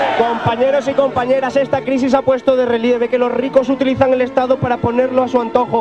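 Over crowd noise in the background, a man rushes at a very fast pace with hardly any pauses, an extremely high pitch and a monotone, flat intonation. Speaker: political candidate addressing a crowd. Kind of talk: political rally speech. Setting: outdoors, public square, crowd. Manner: impassioned, emphatic, improvised. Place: street. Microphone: handheld.

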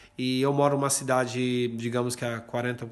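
A man at a moderate pace, with monotone, flat intonation. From Brazil, Limeira (São Paulo state); São Paulo, Brazil. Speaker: journalist; journalist living abroad. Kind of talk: recorded voice message report. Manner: hesitant, filler words. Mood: calm, mildly concerned. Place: home room. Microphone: phone near.

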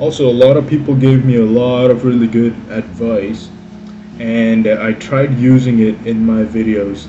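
A man at a fairly slow pace against noticeable background noise. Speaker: hobby painting vlogger. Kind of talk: casual vlog chat. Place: home room. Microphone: phone near.

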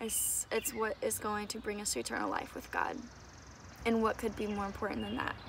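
A woman talks over noticeable background noise in a dry sound with no echo. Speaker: faith vlogger. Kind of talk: casual vlog chat. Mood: earnest, encouraging. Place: garden. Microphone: phone near.

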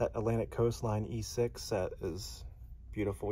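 Over light background noise, a man with a dark, mellow tone and vocal fry speaks at a fairly low pitch with fairly even intonation. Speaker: hobby channel host. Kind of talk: casual vlog commentary. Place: shop. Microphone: phone near.

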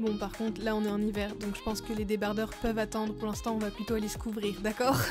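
With music in the background, a woman speaks very fast at a fairly high pitch, her intonation fairly even. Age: young. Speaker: donkey owner and rider. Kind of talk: casual voice-over product review. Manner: cheerful, chatty.

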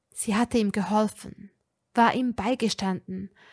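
Someone is reading aloud plainly against a quiet background.

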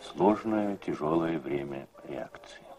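Noticeable background noise accompanies a man speaking in a solemn tone. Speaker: narrator. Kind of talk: scripted narration. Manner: formal, measured, solemn.

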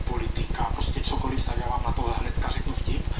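A man talks amid loud background noise. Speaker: joke teller on talent show. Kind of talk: talent show audition, talk to jury. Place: stage.

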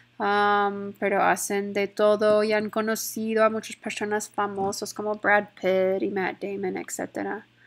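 Medium-pitched woman with an American accent on a very clean recording with a silent background. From Texas, Stephenville. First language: English (speaking Spanish). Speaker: Spanish teacher. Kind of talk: classroom presentation. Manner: hesitant, with many fillers.

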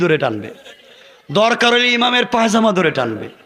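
Amid audible room echo, a man speaks in a raised, projected voice with an animated tone. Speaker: Islamic preacher. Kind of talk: sermon. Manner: animated, addresses crowd with questions.

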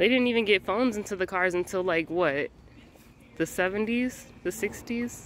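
A woman speaks at medium pitch and a moderate pace. Her pitch varies in an ordinary way.

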